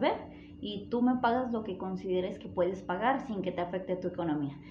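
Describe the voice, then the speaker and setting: Audible room echo surrounds a woman's medium-pitched voice. She talks at a moderate pace with ordinary pitch variation. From Mexico, northern Jalisco. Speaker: podcast guest. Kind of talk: casual chat.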